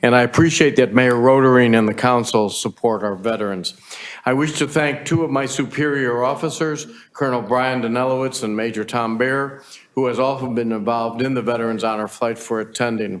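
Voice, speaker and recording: Fairly quick and fairly even in intonation, a man's medium-pitched voice comes through noticeable background noise. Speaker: navy veteran presenting to council. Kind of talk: public presentation. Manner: fast; halting with fillers.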